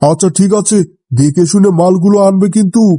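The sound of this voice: Recorded in a dry, close sound with no echo, a man uses a cartoonish character voice with a high pitch.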